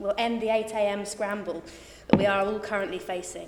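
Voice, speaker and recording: A woman with a southern English accent at medium pitch and a fairly quick pace, with noticeable background noise and audible room echo. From southern England, Reading. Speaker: parliamentary candidate. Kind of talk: hustings speech.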